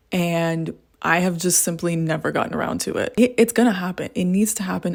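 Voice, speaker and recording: On a very clean recording with a silent background, a woman with an American accent and fairly low pitch speaks fairly quickly in an animated tone. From Texas, Houston. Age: 20s. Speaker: book youtuber. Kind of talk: casual vlog chat. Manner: chatty, animated.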